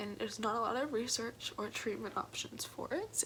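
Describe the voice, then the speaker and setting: Moderately paced speech from a woman, fairly high in pitch, its pitch shifting in an ordinary way, set against noticeable background noise. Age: young. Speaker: college student. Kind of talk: personal story told to camera.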